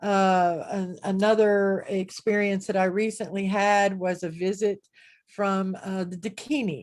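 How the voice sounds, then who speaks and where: A woman speaks at a medium pitch. Her pace is very slow. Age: 60s. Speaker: spiritual teacher. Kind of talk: online group talk. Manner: casual, conversational with fillers.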